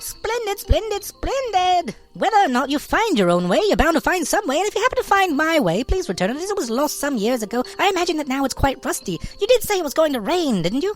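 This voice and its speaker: A squeaky, put-on character voice rattles along at a very fast pace. Its pitch is high and swings very widely. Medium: read story. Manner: fast, repeats every phrase several times.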